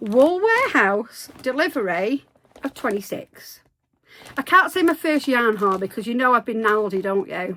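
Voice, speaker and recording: A woman's high-pitched voice swings very widely in pitch as she speaks at a fairly slow pace. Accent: West Country. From Devon, England. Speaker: crochet youtuber. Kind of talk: casual vlog chat. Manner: chatty, animated.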